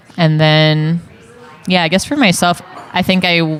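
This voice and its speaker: Flat, monotone intonation at a moderate pace, with noticeable background noise. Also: woman. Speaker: religious sister and campus minister. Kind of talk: casual chat. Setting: coffee shop. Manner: hesitant, many fillers.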